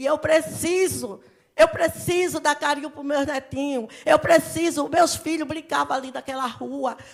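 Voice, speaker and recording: Speaking fairly slowly, a woman keeps her high-pitched voice at a fairly even intonation. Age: 60s. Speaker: local resident. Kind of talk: public meeting speech. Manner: emotional, agitated.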